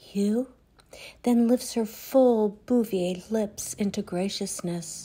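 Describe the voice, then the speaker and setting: In a very clean recording with a silent background, a woman speaks at a very slow pace with a medium pitch, fairly even intonation, and a somewhat breathy, dark, mellow tone. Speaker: poet. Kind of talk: poetry reading, reflective and wry. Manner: measured, wry, deliberate pacing.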